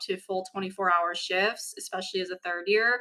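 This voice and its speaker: Here a woman speaks at a medium pitch. Her intonation stays fairly even. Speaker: medical student. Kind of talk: casual talk to camera. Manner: slow at points.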